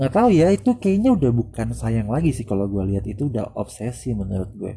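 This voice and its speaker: Noticeable background noise runs under the voice. A man speaks at a fairly quick pace. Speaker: podcaster. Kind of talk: solo monologue podcast, casual reflective talk. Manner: halting, many fillers and pauses.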